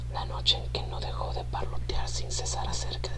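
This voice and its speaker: A whispered voice goes along at a moderate pace, with noticeable background noise behind it. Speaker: ASMR channel host. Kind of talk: horror story reading.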